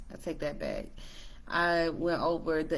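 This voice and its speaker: A woman with a very deep, low voice speaks at a moderate pace, with audible room echo. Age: 20s. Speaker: trading educator. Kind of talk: tutorial. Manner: hesitant, many fillers.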